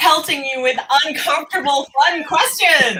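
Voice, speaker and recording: Projecting a raised voice, a woman with a high pitch and a bright, sharp tone speaks at a fairly slow pace. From Japan. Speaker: music interview show host. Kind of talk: live-streamed interview. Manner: animated.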